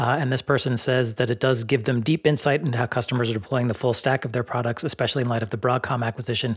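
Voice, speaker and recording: Very fast and with hardly any pauses, a man speaks at medium pitch with fairly even intonation and a somewhat breathy sound, on a very clean recording with a silent background. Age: 50s. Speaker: podcast host. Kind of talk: casual chat.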